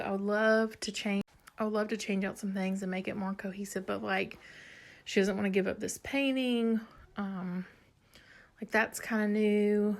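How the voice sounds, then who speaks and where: A woman's medium-pitched voice, monotone and flat, at a moderate pace. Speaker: home decor blogger. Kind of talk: casual home tour video. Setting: at home. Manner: casual, chatty; quieter to avoid waking child.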